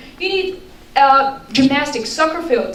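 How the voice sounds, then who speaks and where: Amid noticeable background noise and audible room echo, a woman speaks at a moderate pace with ordinary pitch variation. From Bulgaria. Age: 20s. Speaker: resident speaking at public forum. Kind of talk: public comment. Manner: halting.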